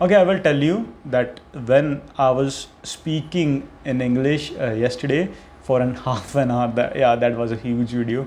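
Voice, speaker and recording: A man in a Punjabi accent, fairly slow in pace with ordinary pitch variation, amid noticeable background noise. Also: medium pitch for a man. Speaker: content creator. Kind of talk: unscripted monologue. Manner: halting, with self-corrections.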